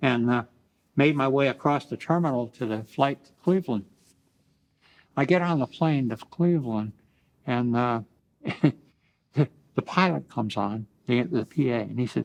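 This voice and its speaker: A man with a Midwestern American accent speaks at a moderate pace and medium pitch, using ordinary pitch variation and long, frequent pauses. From Ohio, USA. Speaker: Vietnam war veteran. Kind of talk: oral history interview answer.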